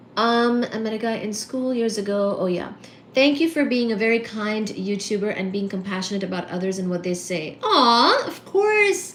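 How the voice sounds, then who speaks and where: Amid noticeable background noise and audible room echo, a woman talks at a moderate pace with a fairly high pitch and ordinary pitch variation. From India, Kolkata. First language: Bengali. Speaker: physics and astronomy streamer. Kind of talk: live stream chat. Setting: live stream. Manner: casual, halting.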